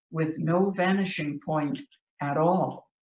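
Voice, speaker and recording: Speaking at a very slow pace, a woman with a fairly low pitch is heard in a room with audible echo and light background noise. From US. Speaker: poet. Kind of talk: poetry reading. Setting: video call. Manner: measured, vivid, dramatic delivery; conversational, light-hearted between poems. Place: home room. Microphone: video call.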